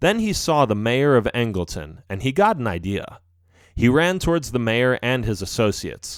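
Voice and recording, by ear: Here someone is reading aloud in a natural voice.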